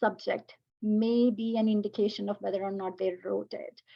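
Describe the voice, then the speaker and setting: This woman's voice is fairly high and somewhat breathy, with monotone, flat intonation. She keeps a moderate pace. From India. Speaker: educator and AI panelist. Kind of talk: panel discussion. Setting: webinar video call.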